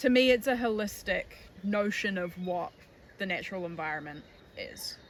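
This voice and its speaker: A woman in a New Zealand accent, medium pitch with ordinary pitch variation, at a moderate pace. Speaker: tour guide and conservation educator. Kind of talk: documentary interview.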